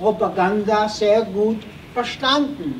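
Against noticeable background noise, a man speaks very slowly in a high voice. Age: 80s+. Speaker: Holocaust survivor, witness speaker. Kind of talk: lecture to school students.

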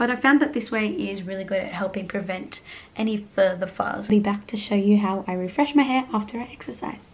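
Someone uses a raspy, put-on character voice at a fairly quick pace. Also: woman, medium pitch for a woman. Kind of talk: casual vlog chat.

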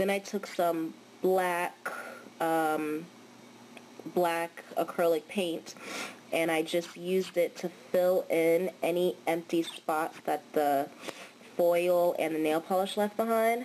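Talking at a very slow pace with long, frequent pauses, a woman keeps her intonation fairly even. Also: very even loudness. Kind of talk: casual nail art tutorial talk. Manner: casual, hesitant with fillers.

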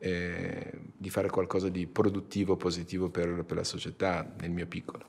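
A man's very deep, low voice, monotone and flat, at a moderate pace with hardly any pauses. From Iran. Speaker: company CEO. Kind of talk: interview. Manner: halting. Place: meeting room.

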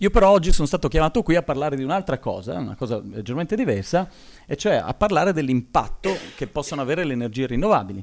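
Speaking very fast with vocal fry, a man uses a fairly high pitch and very wide pitch swings. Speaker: engineering professor, solar materials expert; university lecturer. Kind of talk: conference talk. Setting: conference hall with audience. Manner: hesitant, many fillers. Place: hall. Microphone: podium.

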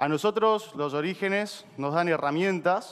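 A man with an Argentine accent talks with ordinary pitch variation. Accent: Rioplatense Argentine Spanish. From Argentina. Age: 20s. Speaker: startup co-founder; speaker. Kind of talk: motivational talk. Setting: stage with audience. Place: stage.

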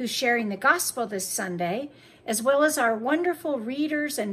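A woman speaks high with lively intonation. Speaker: priest. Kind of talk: worship service welcome. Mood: warm, welcoming. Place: home room. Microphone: phone near.

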